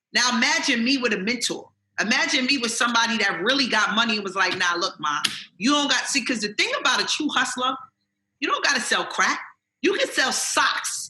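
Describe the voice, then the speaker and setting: Intonation rises and falls in a lively way. Delivery moves along fairly quickly. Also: woman, high pitch for a woman. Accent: New York. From Jamaica, Queens, New York. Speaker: author and motivational speaker. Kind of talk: interview answer. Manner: casual, streetwise.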